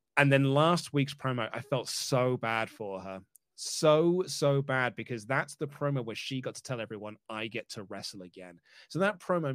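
On a very clean recording with a silent background, a man with a plain, everyday voice speaks at medium pitch with lively intonation and big swings in loudness. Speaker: wrestling journalist guest. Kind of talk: casual chat, predictions show.

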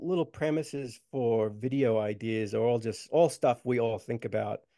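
Over a quiet background, a man with an Australian accent talks in a dark, mellow tone with ordinary pitch variation. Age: 40s. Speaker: skateboarder and social media comedian. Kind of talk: casual interview chat.

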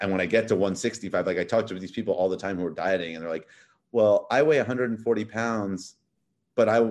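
A man's fairly low voice with an American accent, very fast, over a quiet background. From New York City, Manhattan. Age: 30s. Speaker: tech startup founder, ex-finance. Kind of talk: podcast interview.

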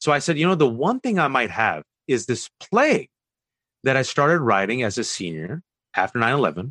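Over a quiet background, a man talks at a fairly quick pace in a medium pitch. His pitch swings very widely. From US West Coast (Bay Area, California). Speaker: author and commentator. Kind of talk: interview.

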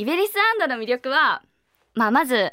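A woman's voice swings very widely in pitch at a moderate pace on a very clean recording with a silent background and a dry, close sound with no echo. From Niigata, Japan. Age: 20s. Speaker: voice actress and idol singer. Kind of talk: interview Q&A on radio.

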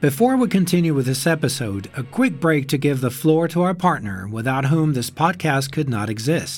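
Somewhat breathy, the voice keeps a moderate pace and lively intonation with hardly any pauses. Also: man, fairly high pitch for a man. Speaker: podcast narrator. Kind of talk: true-crime narration. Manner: immersive, dramatic storytelling, hushed and suspenseful; measured, scene-setting, vivid.

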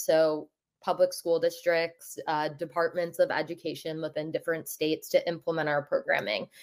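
A woman with a plain, everyday voice, lively intonation and a moderate pace. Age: 20s. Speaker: digital wellbeing activist, nonprofit founder. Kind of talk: casual interview. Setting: remote call.

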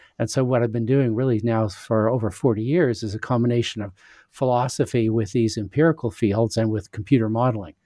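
A man with a Canadian accent talks at a fairly quick pace and medium pitch. He has an ordinary speaking voice and fairly even intonation. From Western Canada (Saskatchewan). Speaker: philosopher and author. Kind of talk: interview.

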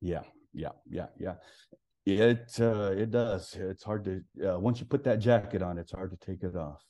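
In an American accent, a man speaks at a fairly slow pace with a fairly low pitch, a dark, mellow tone, ordinary pitch variation and big swings in loudness against a quiet background. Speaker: pastor. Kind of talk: testimony. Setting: phone call.

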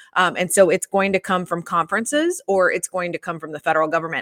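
With an American accent, a woman has an ordinary speaking voice at a medium pitch with ordinary pitch variation, recorded in a dry, close sound with no echo. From US South, Atlanta. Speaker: sports law consultant. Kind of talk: interview. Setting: video call.

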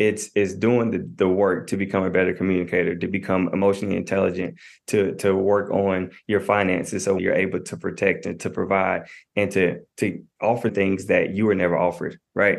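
A man with an American accent and an ordinary speaking voice, fairly low-pitched, fairly even in intonation, at a fairly quick pace over a quiet background. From US South, Knoxville, Tennessee. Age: 20s. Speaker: marriage and family therapist. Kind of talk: podcast interview.

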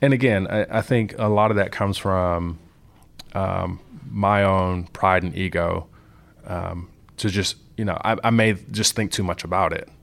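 A man with an American accent speaks in a normal speaking voice at a fairly low pitch and a fairly slow pace, with fairly even intonation, in a very clean recording with a silent background. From Compton, Los Angeles, California. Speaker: software engineer. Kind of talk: interview.

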